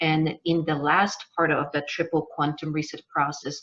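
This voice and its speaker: This woman has a fairly low voice and a Polish accent, and she speaks at a fairly slow pace. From Poland. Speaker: business coach. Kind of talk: webinar masterclass. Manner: halting.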